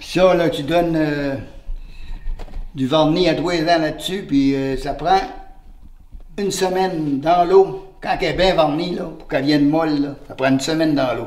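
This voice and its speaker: Through noticeable background noise and audible room echo, a man speaks slowly-ish at a fairly high pitch with fairly even intonation, big swings in loudness and long, frequent pauses. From Quebec, Beauce region (Saint-Martin). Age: 80s+. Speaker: retired lumberjack and craftsman. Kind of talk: casual interview chat. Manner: halting, repeats words.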